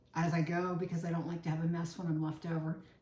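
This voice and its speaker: A woman speaks with an American accent. Room echo is audible, along with noticeable background noise. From Virginia, Chesapeake Bay area. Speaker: home cook, cooking channel host. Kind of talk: cooking tutorial. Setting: home kitchen. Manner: casual, chatty.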